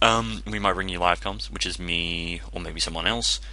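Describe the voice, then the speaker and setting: Amid noticeable background noise and audible room echo, a man with an Australian accent speaks at a very deep, low pitch with ordinary pitch variation. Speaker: gaming commentator. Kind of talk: gameplay commentary. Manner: casual, rambling.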